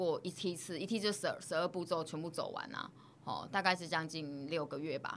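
At a fairly quick pace, a woman with a Taiwanese accent speaks in a fairly low pitch with a bright, sharp tone and ordinary pitch variation. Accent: Taiwanese Mandarin. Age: 30s. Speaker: social worker. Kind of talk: interview. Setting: studio.

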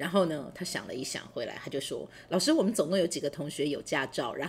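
A woman's fairly low voice at a very fast pace, full of lively intonation. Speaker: university professor. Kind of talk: interview, personal storytelling. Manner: hesitant, many fillers.

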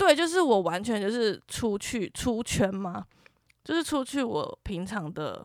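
A woman speaks fairly slowly at a fairly high pitch, her voice swinging very widely up and down. The recording is very clean, with a silent background. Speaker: podcast co-host. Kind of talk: casual chat.

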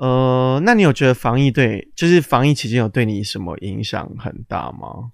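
In a very clean recording against a silent background, a man with an ordinary speaking voice talks at a medium pitch and moderate pace, barely pausing, with ordinary pitch variation and big swings in loudness. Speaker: podcast co-host. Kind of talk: casual chat. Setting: lying in bed, recording on a laptop.

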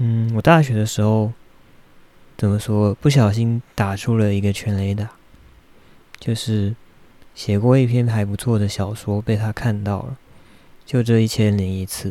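A man's fairly low, dark, mellow voice in a Taiwanese accent, fairly even in intonation, at a fairly slow pace with long, frequent pauses. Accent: Taiwanese Mandarin. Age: 30s. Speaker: podcaster and graduate student. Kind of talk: personal monologue. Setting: home recording in bedroom. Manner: halting, with frequent fillers and repeated words.

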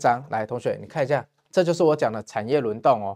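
Recorded very cleanly against a silent background, a man with a Taiwanese accent talks at a very fast pace with very wide pitch swings. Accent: Taiwanese Mandarin. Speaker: stock market commentator. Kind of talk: investment show monologue. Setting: studio. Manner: animated.

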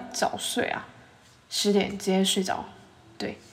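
A woman with a Taiwanese accent speaks at a moderate pace in an animated tone, with noticeable background noise behind her. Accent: Taiwanese Mandarin. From Taiwan, Yilan. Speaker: podcast host, food reviewer. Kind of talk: casual food review monologue.

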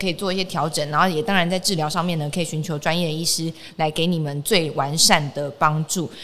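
Bright and sharp in tone, a woman talks animatedly at a fairly quick pace, her pitch fairly low with ordinary variation. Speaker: podcast host. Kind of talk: casual health interview.

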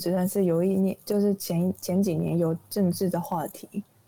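A woman speaks at a medium pitch with a dark, mellow tone, ordinary pitch variation, and a Taiwanese accent. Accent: Taiwanese Mandarin. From Japan, Nagoya. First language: Japanese (speaking Chinese). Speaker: recent university graduate. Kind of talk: casual interview. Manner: halting.

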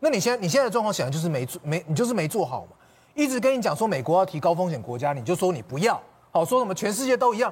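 Very fast and high-pitched, a man talks with very wide pitch swings. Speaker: TV political talk show commentator. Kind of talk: heated TV panel debate. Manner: emphatic, repetitive.

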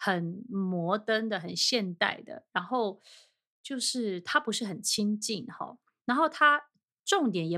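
This very clean recording with a silent background features a woman with a fairly high pitch and a bright, sharp tone. She talks at a fairly slow pace with lively intonation. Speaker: podcast host. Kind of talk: solo film and fashion talk.

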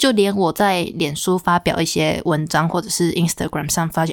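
A woman with a Taiwanese accent speaks at a fairly low pitch with fairly even intonation. The recording is very clean, with a silent background. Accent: Taiwanese Mandarin. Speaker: podcast host. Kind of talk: arts news segment; casual solo podcast talk. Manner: hesitant, many fillers and self-corrections.

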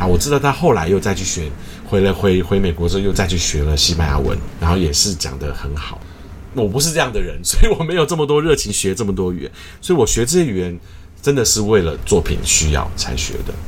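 Noticeable background noise and audible room echo surround a man with a fairly low pitch. He speaks very fast with very wide pitch swings. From Taiwan. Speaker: choir conductor. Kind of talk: interview.

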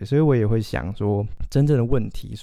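Speaking with a Taiwanese accent, a man has a fairly low pitch, a dark, mellow tone, and fairly even intonation. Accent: Taiwanese Mandarin. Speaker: literature graduate student, podcast co-host. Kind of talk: casual chat.

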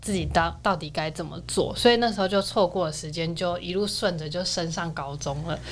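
A woman with a fairly low pitch and ordinary pitch variation talks at a fairly quick pace with hardly any pauses. Music plays in the background. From Taiwan, outside Taipei. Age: 20s. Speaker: dancer and university student. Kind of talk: casual interview.

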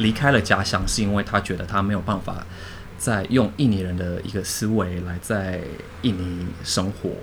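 A man with a fairly low pitch speaks at a moderate pace in a somewhat breathy voice, his intonation fairly even and some room echo audible. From Indonesia (Jakarta), Chinese-Indonesian; later Penang, Malaysia. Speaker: designer and translator. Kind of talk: casual chat.

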